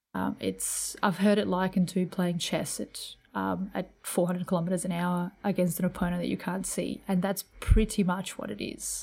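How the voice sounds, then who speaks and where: A woman's medium-pitched voice with a dark, mellow tone and vocal fry, monotone and flat at a moderate pace, in a very clean recording with a silent background. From New Zealand. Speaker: air force pilot. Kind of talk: interview.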